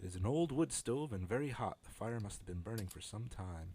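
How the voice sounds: Intonation is lively as this natural reading voice carries the text.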